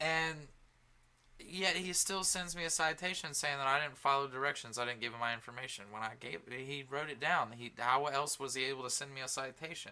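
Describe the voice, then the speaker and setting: A man talks at a fairly quick pace with a bright, sharp tone. His pitch is fairly high, with ordinary variation. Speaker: podcast co-host. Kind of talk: casual chat. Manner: halting, stuttering.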